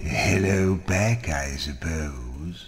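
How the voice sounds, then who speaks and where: A man puts on a character voice pitched very deep and low. Clear background noise sits behind him. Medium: video game. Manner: dry, wry, musing.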